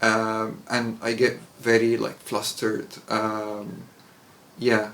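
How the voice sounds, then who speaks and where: A man with an Arabic accent speaks very slowly at a medium pitch, his intonation monotone and flat, with audible room echo. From Egypt. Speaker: English teacher. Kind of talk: casual chat. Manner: halting.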